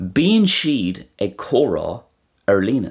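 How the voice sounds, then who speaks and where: The speaker is a man. He has an Irish accent. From Ireland. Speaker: Irish language teacher. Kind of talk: educational explainer.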